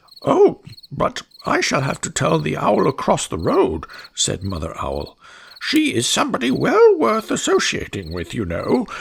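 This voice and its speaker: The speaker is a man using a put-on character voice. His pace stays moderate. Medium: read story. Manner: prim, scandalized.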